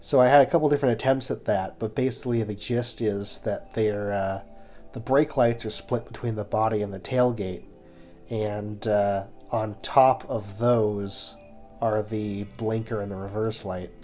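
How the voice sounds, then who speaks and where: Music is playing in the background. Over it, a man talks at a fairly low pitch. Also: fairly even intonation, moderate pace. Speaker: car design game builder. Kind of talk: casual gameplay commentary.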